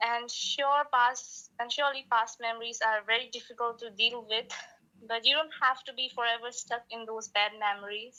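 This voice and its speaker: A woman with a non-native accent speaks at a moderate pace and a fairly high pitch. Her intonation is monotone and flat, while her loudness swings widely. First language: not English. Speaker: podcast guest, aspiring singer. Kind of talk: casual conversation. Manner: halting.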